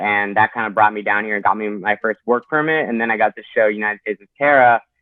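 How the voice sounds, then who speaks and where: Fairly low in pitch, a man with an unremarkable speaking voice moves at a fairly quick pace. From Canada, Toronto. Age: 20s. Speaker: actor and metal vocalist. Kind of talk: casual chat.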